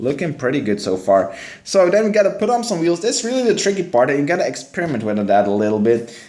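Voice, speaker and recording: A man with a Dutch accent speaks at a fairly quick pace in a dark, mellow tone. His pitch swings very widely, and there is audible room echo. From Belgium, West Flanders. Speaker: gaming streamer. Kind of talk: live stream commentary. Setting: live stream. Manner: casual.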